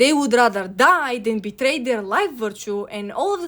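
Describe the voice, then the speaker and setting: This woman has a high voice and a Bulgarian accent. Her intonation is lively, and the recording is very clean against a silent background. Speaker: video essayist. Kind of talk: video essay narration.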